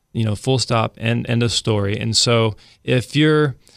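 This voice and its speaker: A man's medium-pitched voice with ordinary pitch variation, a normal speaking voice, in a very clean recording with a silent background. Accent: American. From Central California, small town. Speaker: real estate broker. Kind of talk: casual chat.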